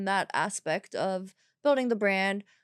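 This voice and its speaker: The recording is very clean with a silent background, capturing a woman's medium-pitched voice in a dry, close sound with no echo. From Germany. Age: 30s. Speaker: entrepreneur, apparel brand founder. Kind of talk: interview conversation.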